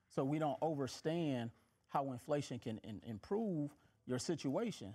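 A man with an American accent at a fairly high pitch, lively intonation, and a moderate pace. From Milwaukee, Wisconsin and Mississippi. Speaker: financial educator and author; financial educator. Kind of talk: casual interview. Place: studio.

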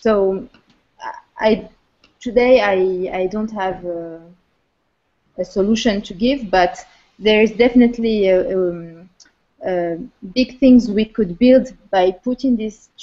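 Over a quiet background, a woman with a fairly high pitch and a dark, mellow tone speaks very slowly with long, frequent pauses and ordinary pitch variation. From Morocco, Casablanca. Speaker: co-working space founder. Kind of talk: online panel discussion. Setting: video call. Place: home room. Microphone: video call.

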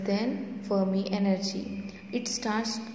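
A woman at a very slow pace, with light background noise and audible room echo. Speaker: teacher. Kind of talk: lecture. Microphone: phone near.

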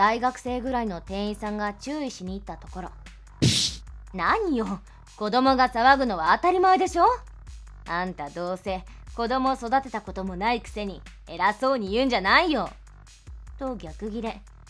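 Faint music plays behind a woman talking at a moderate pace. Her loudness swings widely. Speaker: narrator voicing all characters. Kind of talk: story narration with acted dialogue.

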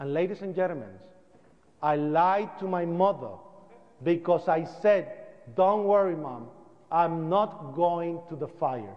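High pitch from a man, with long, frequent pauses and noticeable background noise. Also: ordinary pitch variation. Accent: Spanish. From Puerto Rico. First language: Spanish. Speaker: 9/11 survivor and activist. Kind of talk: public talk. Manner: animated.

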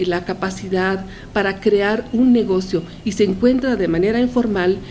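A woman at a fairly slow pace, her pitch varying in an ordinary way, over light background noise. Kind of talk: opinion commentary to camera. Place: office. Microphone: handheld.

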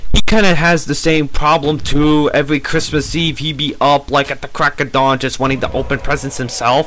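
Fairly high in pitch, a man talks with fairly even intonation and hardly any pauses. There is noticeable background noise. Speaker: gaming commentator. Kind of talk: casual gameplay commentary.

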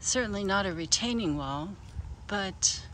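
Against light background noise, a woman talks at a fairly slow pace in a dry sound with no echo. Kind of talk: casual garden tour narration. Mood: pleased, relaxed. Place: garden. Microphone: phone near.

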